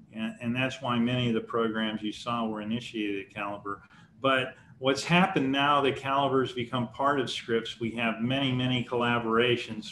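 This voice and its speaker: There is audible room echo as a man speaks at a moderate pace. His pitch is medium and his intonation fairly even. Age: 60s. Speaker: research institute president and chemist. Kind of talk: lecture Q&A. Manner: halting with frequent repetitions.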